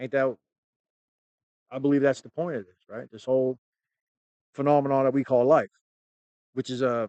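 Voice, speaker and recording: Speaking at a moderate pace with an American accent, the voice breaks often into long pauses. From United States. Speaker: YouTube commentator on UFOs. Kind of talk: casual monologue. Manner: halting; casual, conversational.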